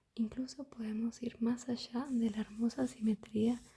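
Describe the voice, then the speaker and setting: Soft-spoken speech unfolds at a fairly slow tempo. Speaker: ASMR creator. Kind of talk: ASMR book reading.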